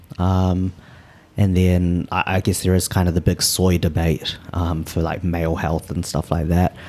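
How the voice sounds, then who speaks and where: In a New Zealand accent, the speaker talks at a fairly slow pace with monotone, flat intonation and a dark, mellow tone. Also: man, very deep, low pitch for a man. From New Zealand (Auckland). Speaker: personal trainer, vegan bodybuilder. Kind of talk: casual interview. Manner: halting, many fillers.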